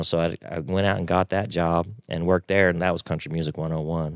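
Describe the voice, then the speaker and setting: A man's very deep, low voice in a dry, close sound with no echo. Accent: Texan. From Texas (Waco). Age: 50s. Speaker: piano player. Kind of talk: casual interview chat. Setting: studio.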